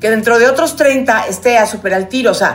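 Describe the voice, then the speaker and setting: A woman with a fairly high pitch is speaking. Audible room echo and noticeable background noise surround her voice. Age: 50s. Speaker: podcast co-host. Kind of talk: casual chat.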